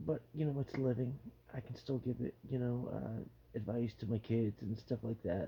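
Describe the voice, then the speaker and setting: A man speaks at a moderate pace in a dark, mellow tone. His voice is somewhat breathy, with fairly even intonation. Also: medium pitch for a man. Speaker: vlogger with terminal cancer. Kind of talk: personal vlog monologue. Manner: halting.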